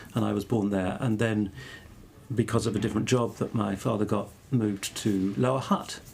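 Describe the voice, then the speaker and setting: With a medium pitch, this man keeps his intonation fairly even. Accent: southern English. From southern England (Exeter, Devon). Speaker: academic theologian. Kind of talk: interview conversation. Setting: podcast. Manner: halting.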